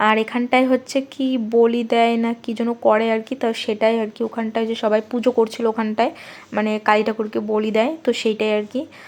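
With noticeable background noise behind her, a woman speaks at a fairly high pitch with monotone, flat intonation. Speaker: family vlogger. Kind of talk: vlog voice-over narration. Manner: casual, chatty.

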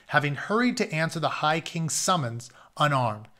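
This man's tone is bright and sharp, and his pitch varies in an ordinary way.

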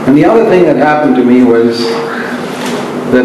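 Noticeable background noise and strong room echo surround this recording. A man speaks at a medium pitch and a fairly slow pace. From India. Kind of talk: sermon. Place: hall.

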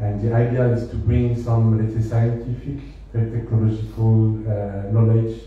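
Speaking with a French accent at a fairly slow pace, a man is heard in strong room echo with light background noise. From France. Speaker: ambassador. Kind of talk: speech. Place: hall.

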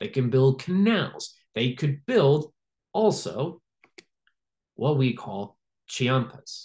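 This man talks at a very slow pace, with long, frequent pauses and a somewhat breathy sound. His intonation is lively, and the background is quiet. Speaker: high school history teacher; teacher. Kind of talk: lecture. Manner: casual, animated.

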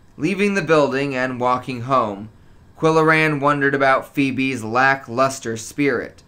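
A natural voice, reading text aloud

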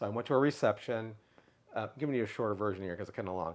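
At a very fast pace, a man talks in a fairly low voice. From US Midwest, Michigan. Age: 60s. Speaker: public speaker on LGBTQ issues. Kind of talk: interview. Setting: in person. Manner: halting. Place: home room. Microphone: lapel.

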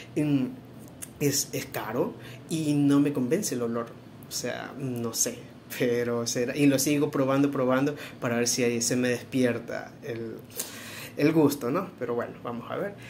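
A man at a medium pitch, with fairly even intonation, a fairly slow pace and light background noise. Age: 40s. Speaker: perfume reviewer. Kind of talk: product review. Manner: hesitant, many fillers. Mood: relaxed, friendly. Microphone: phone near.

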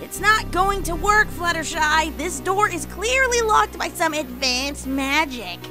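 A female-sounding, cartoonish character voice squeaks at an extremely high pitch and moderate pace. Clear music plays in the background. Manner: sarcastic.

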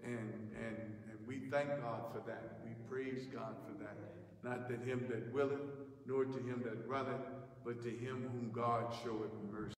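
Against light background noise and audible room echo, a man speaks in a flat monotone. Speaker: preacher. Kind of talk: sermon. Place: church. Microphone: podium.

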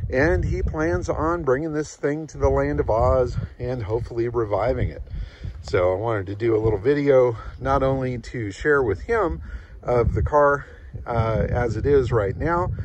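A man speaks at a moderate pace, the sound dry with no echo but with noticeable background noise. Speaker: car salvage vlogger. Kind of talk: casual vlog chat. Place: open country. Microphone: phone near.

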